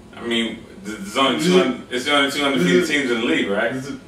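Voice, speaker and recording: Amid noticeable background noise and audible room echo, a man talks at a very fast pace. His intonation is lively. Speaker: flag football player and panelist. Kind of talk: casual sports preview chat. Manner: stutters; animated.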